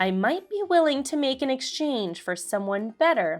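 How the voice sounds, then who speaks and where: A woman does a put-on character voice, high-pitched with very wide pitch swings, as faint music plays in the background. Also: moderate pace. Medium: read story. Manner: sly, mock-sweet.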